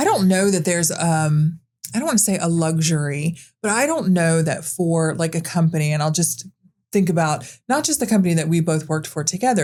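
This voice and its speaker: The voice has a dark, mellow tone, ordinary pitch variation and a fairly quick pace. The recording is very clean, with a silent background. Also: woman. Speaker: podcast host. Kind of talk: casual chat. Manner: loud; animated.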